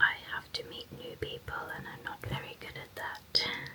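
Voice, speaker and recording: Whispering at a very slow pace in a calm, gentle tone, a woman is heard over noticeable background noise. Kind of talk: whispered ASMR ramble to camera while painting nails. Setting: close-mic studio recording. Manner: soft-spoken, calm, gentle, unhurried.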